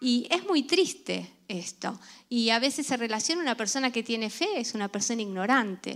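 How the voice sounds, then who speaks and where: With an ordinary speaking voice, a woman talks at a moderate pace in a fairly high pitch with lively intonation over a very clean recording and silent background. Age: 50s. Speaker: pastor. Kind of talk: sermon.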